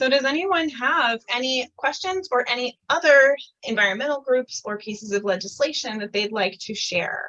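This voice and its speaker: Speaking in a raised, projected voice with a high pitch, a woman keeps a moderate pace with hardly any pauses and lively intonation. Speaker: environmental activist. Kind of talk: online Q&A talk.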